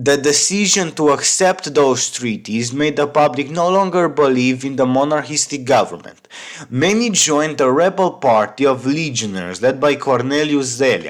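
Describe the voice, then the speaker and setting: Over noticeable background noise, a man with a fairly high pitch talks at a moderate pace with lively intonation and hardly any pauses. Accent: Romanian. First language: Romanian. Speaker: history YouTuber. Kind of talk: scripted narration.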